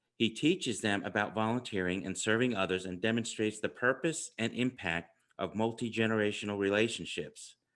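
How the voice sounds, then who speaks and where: Against a quiet background, a man with a New York accent talks at a fairly quick pace with hardly any pauses and ordinary pitch variation. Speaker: podcast host. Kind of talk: interview; scripted introduction.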